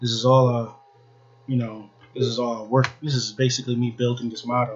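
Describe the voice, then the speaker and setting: At a fairly quick pace, a somewhat breathy man speaks at a medium pitch in a monotone, flat intonation. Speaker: podcast host. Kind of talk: casual monologue. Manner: halting.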